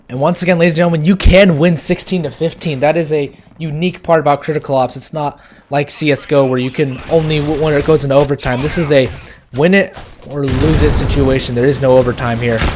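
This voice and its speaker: Very fast speech over noticeable background noise. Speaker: esports caster. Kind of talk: live commentary. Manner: loud.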